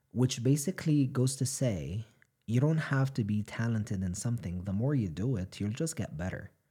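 Somewhat breathy, dark and mellow male voice of medium pitch, lively intonation, on a very clean recording with a silent background. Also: moderate pace. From Egypt. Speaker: podcast host, professor and journalist. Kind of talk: casual chat.

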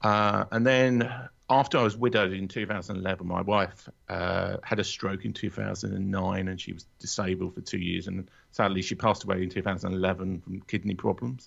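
Someone with a London accent speaks fairly quickly, keeping the intonation fairly even. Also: man, very deep, low pitch for a man. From London area, England. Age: 40s. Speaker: author and podcaster. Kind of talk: casual interview. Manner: hesitant, many fillers.

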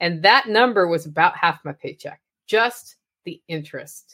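Here is an unremarkable speaking voice belonging to a woman with an American accent. She talks at a moderate pace with lively intonation. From Oregon. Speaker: podcaster and motivational speaker. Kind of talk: casual interview.

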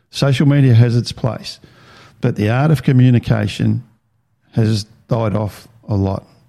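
With an Australian accent, a man talks at a fairly slow pace in a dark, mellow tone, his medium pitch showing ordinary variation and broken by long, frequent pauses. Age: 50s. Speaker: podcast host. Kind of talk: personal testimony monologue. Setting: home recording with video. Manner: halting.

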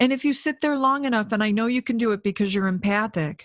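A normal speaking voice from a woman, fairly high in pitch with lively intonation, in a dry, close sound with no echo and a very clean recording with a silent background. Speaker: psychic medium and podcast host. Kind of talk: guided meditation; solo talk. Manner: slow, soothing, calm and gentle, with pauses for breathing.

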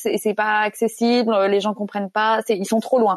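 A woman's fairly high voice at a moderate pace, dry and close with no echo. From France. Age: 30s. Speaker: evangelization organization director. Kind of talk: panel discussion. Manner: hesitant, many fillers.

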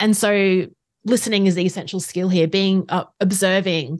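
Over a quiet background, a woman with an Australian accent speaks at a medium pitch. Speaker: facilitator and trainer, consultant. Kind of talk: interview, casual professional chat.

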